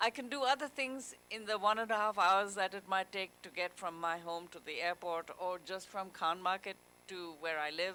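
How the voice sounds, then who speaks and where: A woman talks at a moderate pace with hardly any pauses, her tone bright and sharp. Her pitch is medium, with ordinary variation. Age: 70s. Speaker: author. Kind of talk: panel conversation at literature festival. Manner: halting, with repetitions.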